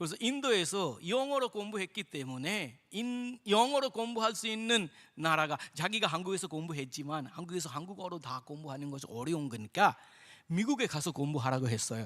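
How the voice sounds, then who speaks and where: Bright and sharp in tone, a high-pitched man with an Indian accent speaks at a fairly quick pace with very wide pitch swings. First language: Indian language (speaking Korean). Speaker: missionary. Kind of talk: testimony. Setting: church.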